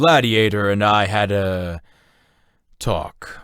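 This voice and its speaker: Putting on a character voice, a man speaks at a very slow pace with a fairly low pitch. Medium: read story. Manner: terse, measured.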